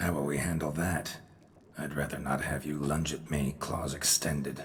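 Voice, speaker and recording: Against clear background noise, a man puts on a raspy character voice, very deep and low, with monotone, flat intonation. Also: moderate pace. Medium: machinima. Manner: terse, clipped, deadpan.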